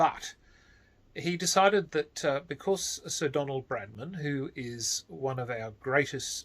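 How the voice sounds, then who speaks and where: Somewhat breathy and fairly high in pitch, a man speaks at a fairly slow pace with lively intonation. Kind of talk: casual talk to camera. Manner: slow, measured.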